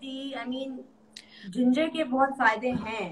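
A woman's high-pitched voice at a fairly slow pace. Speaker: guest. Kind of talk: casual live-stream chat. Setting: video call. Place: home room. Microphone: phone near.

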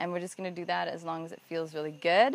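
A woman with a fairly low pitch speaks in a calm, gentle tone, the sound dry with no echo. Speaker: meditation teacher. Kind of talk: guided meditation. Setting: video. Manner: calm, gentle, repetitive cueing. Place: garden.

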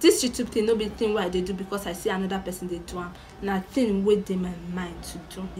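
The speech moves at a very fast pace. Light background noise can be heard. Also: woman. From Nigeria. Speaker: vlogger. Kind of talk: casual talk to camera. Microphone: phone near.

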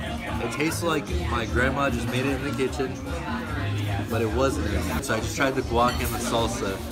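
A man speaking at a moderate pace with long, frequent pauses over loud background music. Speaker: food vlogger. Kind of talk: casual vlog chat. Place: cafe. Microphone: phone near.

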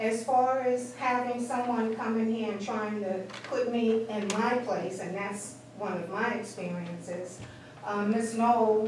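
A woman at a fairly slow pace with fairly even intonation, audible room echo and light background noise. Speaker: resident giving public comment. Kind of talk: public comment at meeting. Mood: aggrieved, complaining. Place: meeting room. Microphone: camera far.

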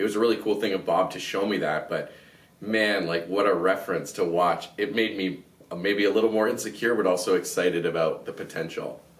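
A man with a Canadian accent speaks at a fairly quick pace and fairly low pitch. His intonation is fairly even, and room echo is audible. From Canada. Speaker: podcast host. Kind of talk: interview. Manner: halting. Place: studio.

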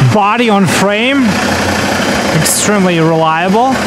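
A woman talks over loud background noise. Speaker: vehicle reviewer. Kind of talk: commentary. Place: open country. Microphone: phone near.

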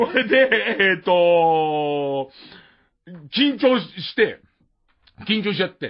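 Speech at a very slow pace with long, frequent pauses makes very wide pitch swings and big swings in loudness. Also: man, high pitch for a man. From Tokyo. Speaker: radio host. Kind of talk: casual chat. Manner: casual.

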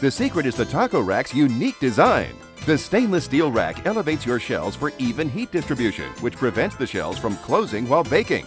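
A man's upbeat, fairly high voice with very wide pitch swings, at a fairly quick pace with hardly any pauses, over music in the background. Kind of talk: infomercial read.

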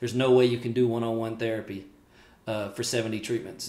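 The speaker is a man. Room echo is audible around his voice. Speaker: respiratory care educator. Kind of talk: casual vlog chat. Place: home room.

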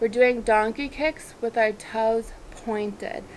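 A very slow pace over light background noise. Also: woman. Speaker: fitness instructor. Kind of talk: workout instruction with counting. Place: garden.

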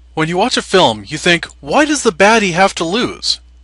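Projecting a raised voice, a man speaks with a high pitch and very wide pitch swings. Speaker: let's play gamer. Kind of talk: casual gameplay commentary.

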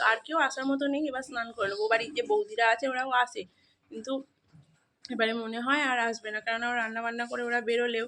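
Fairly even intonation carries a bright, sharp tone. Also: woman, high pitch for a woman. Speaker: village vlogger. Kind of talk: vlog narration. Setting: at home.

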